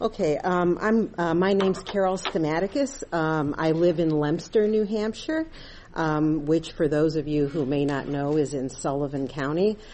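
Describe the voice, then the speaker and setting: Her voice sits fairly low for a woman, moving at a moderate pace with ordinary pitch variation. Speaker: private citizen testifying, murder victim's daughter. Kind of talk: public hearing testimony. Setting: legislative committee hearing room. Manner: loud, projecting without microphone; hesitant, many ums.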